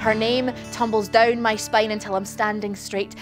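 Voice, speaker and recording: The voice belongs to a woman. Music sits faintly behind her. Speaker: poet performer. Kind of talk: spoken-word poetry performance. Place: stage.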